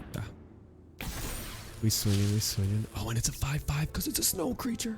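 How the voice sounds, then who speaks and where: Music plays behind speech delivered at a moderate pace. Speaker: gaming YouTuber. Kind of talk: gameplay commentary.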